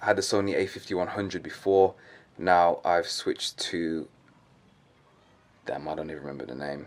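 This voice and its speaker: A man speaks in a London accent at a moderate pace. His pitch varies in an ordinary way. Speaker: fitness vlogger and bodybuilder. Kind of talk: casual vlog.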